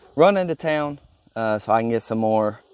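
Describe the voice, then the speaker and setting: At a moderate pace and with ordinary pitch variation, the speaker talks in a strong Mississippi accent. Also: man. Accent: heavy Mississippi Southern. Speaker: pressure washing business owner, vlogger. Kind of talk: casual vlog narration. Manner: halting, many fillers.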